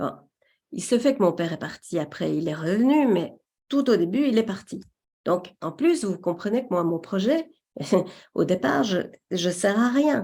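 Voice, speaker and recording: With a Belgian accent, a woman talks at a fairly slow pace in a medium pitch, her pitch swinging very widely. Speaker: webinar presenter. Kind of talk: webinar presentation.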